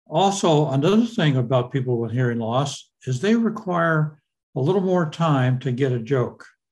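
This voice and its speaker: A man talks in a fairly high, somewhat breathy voice. His intonation is lively. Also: moderate pace. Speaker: hearing loss advocate. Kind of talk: presentation. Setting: video call.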